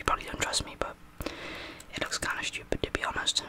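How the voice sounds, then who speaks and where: A man whispering at a very fast pace. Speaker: ASMR creator playing a barber. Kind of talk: roleplay chat. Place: home room. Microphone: studio mic.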